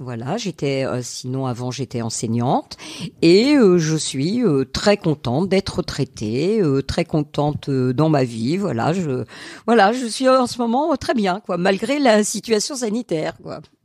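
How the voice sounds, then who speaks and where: A woman's fairly low pitch with very wide pitch swings, at a fairly slow pace, in a dry, close sound with no echo. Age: 60s. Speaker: retired teacher. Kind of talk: interview. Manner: halting.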